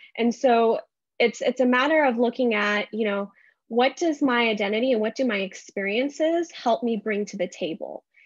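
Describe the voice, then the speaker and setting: A woman with a Californian accent speaks at a moderate pace with a fairly high pitch and ordinary pitch variation, against a quiet background. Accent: Californian American. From US, San Jose area, California. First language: Urdu. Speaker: school board member. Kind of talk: interview.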